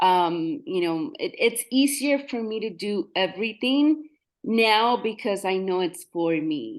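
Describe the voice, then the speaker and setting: A woman in a Spanish accent, fairly high-pitched with very wide pitch swings, at a very slow pace over a quiet background. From Mexico. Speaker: realtor. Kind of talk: interview testimony. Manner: halting.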